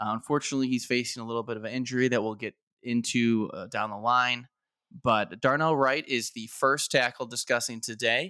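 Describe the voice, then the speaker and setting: A man's medium-pitched, bright, sharp voice at a fairly quick pace with fairly even intonation, in a very clean recording with a silent background. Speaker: sports podcast co-host. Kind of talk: casual chat.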